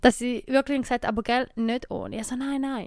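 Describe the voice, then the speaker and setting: On a very clean recording with a silent background, a woman's high voice has a bright, sharp tone and fairly even intonation. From eastern Switzerland. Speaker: podcast host. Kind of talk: casual chat.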